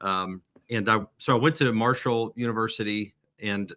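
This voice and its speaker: This voice has an American accent and a bright, sharp tone, moving at a fairly slow pace with fairly even intonation on a very clean recording with a silent background. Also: man. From Appalachia, Huntington, West Virginia. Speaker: pastor. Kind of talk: podcast interview. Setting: in his church building.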